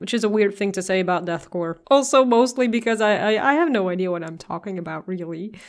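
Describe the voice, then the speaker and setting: At a moderate pace and a medium pitch, a woman with a non-native accent speaks with ordinary pitch variation on a very clean recording with a silent background. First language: not English. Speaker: music reaction youtuber. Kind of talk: album reaction commentary. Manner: hesitant, repeats words.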